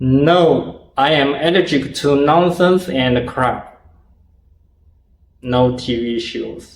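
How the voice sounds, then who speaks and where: Speaking at a very slow pace with long, frequent pauses, the man has a fairly high pitch and ordinary pitch variation. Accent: non-native. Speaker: martial arts video creator. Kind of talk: Q&A interview. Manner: halting.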